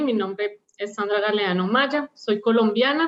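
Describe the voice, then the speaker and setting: Her pitch is fairly high for a woman. She talks at a moderate pace. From Colombia, Bogotá. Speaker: operational excellence leader, panelist. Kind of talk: panel presentation.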